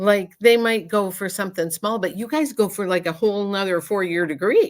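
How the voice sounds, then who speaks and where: Speaking at a fairly quick pace in a plain, everyday voice, a woman uses ordinary pitch variation. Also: medium pitch for a woman. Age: 60s. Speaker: psychic medium doing live readings. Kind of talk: casual chat. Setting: livestream video call.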